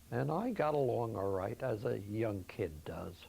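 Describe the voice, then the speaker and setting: In an American accent, a man speaks at a fairly slow pace, somewhat breathy, with lively intonation. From Philadelphia, US. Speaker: elder recounting his life story. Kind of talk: oral history interview. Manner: halting.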